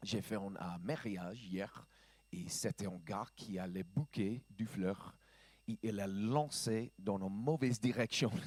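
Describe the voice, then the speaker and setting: Speaking very slowly with an American accent, a man uses a fairly low pitch and ordinary pitch variation. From US South, Georgia. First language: English (speaking French). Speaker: pastor. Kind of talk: sermon. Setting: church. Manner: halting.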